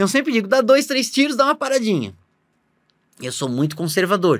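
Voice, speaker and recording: Very wide pitch swings mark a man's speech in a very clean recording with a silent background. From Santa Catarina, southern Brazil (Blumenau). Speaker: vascular surgeon. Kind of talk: casual interview.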